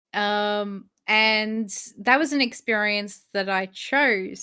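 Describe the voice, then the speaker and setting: A woman speaks with an Australian accent in a bright, sharp tone. The recording is very clean, with a silent background. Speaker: spiritual podcast co-host. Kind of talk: casual chat. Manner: hesitant, many fillers.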